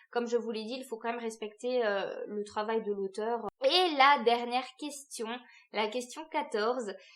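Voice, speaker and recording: A woman speaks in a high voice with ordinary pitch variation. Her pace is fairly slow. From France, Alsace. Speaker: book youtuber. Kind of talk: casual vlog talk to camera. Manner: hesitant, many fillers.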